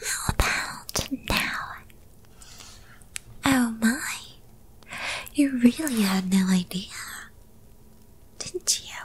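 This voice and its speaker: A woman whispers in a put-on character voice. She goes at a very slow pace with long, frequent pauses. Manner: whispered.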